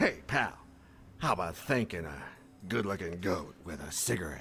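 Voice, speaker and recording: Against clear background noise, a man puts on a character voice with a very deep, low pitch at a moderate pace. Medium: video game. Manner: rambling, jumps between thoughts.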